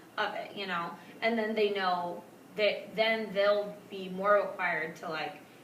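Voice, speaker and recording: A woman speaks at a fairly slow pace with fairly even intonation, amid noticeable background noise and audible room echo. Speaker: teacher coach. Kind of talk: coaching meeting. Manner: loud when teaching.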